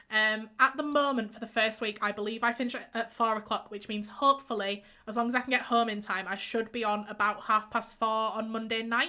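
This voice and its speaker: A woman speaks with a bright, sharp tone in a fairly high pitch. Her monotone, flat delivery moves at a fairly quick pace with hardly any pauses. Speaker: game streamer. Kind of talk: casual live stream chat.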